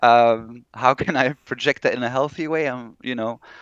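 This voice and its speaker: Dry, close sound with no echo and a quiet background, from a man at a medium pitch with ordinary pitch variation and a Flemish accent. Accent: non-native English, Flemish. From Belgium (Flanders). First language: Dutch (Flemish). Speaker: horror novelist. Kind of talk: interview.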